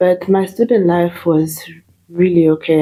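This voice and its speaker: A woman speaks with a Zimbabwean accent and a fairly low pitch. Her tone is dark and mellow, with fairly even intonation. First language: Shona. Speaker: nurse. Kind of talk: interview. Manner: hesitant, many fillers.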